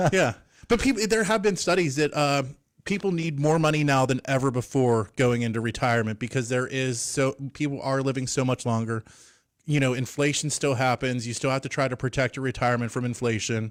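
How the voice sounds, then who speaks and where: A man has a normal speaking voice at medium pitch, with ordinary pitch variation and a fairly quick pace. The recording is very clean, with a silent background. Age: 40s. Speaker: financial advisor. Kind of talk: radio interview. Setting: studio.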